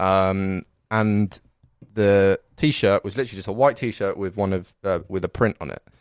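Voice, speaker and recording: In a very clean recording with a silent background and a dry, close sound with no echo, a man with a fairly low pitch speaks at a fairly slow pace with fairly even intonation and a southern English accent. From Reading, England. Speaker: podcast guest. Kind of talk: casual chat.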